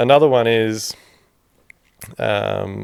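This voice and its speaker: The speaker is a man with an Australian accent. The recording is very clean, with a silent background. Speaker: builder and podcast host. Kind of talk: solo podcast talk. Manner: casual, candid, profane.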